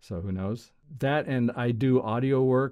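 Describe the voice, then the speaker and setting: A man speaks with a dark, mellow tone. His pitch varies in an ordinary way over a quiet background. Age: 60s. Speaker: animator and filmmaker, former studio member. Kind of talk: casual interview chat.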